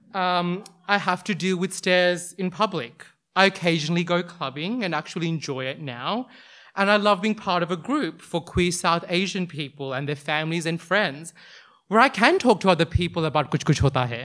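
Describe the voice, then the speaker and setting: This man has an Australian accent. His pitch is high. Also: ordinary pitch variation, moderate pace. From Western Sydney, Australia. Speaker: storyteller. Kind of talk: live personal storytelling on stage. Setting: stage with audience, handheld mic. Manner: loud, animated.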